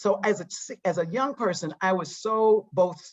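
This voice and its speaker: A woman speaks at a fairly slow pace with an American accent. Her intonation is lively. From US South, eastern North Carolina. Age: 60s. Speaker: psychotherapy trainer and diversity consultant. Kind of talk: interview. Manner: halting, with many restarts and fillers.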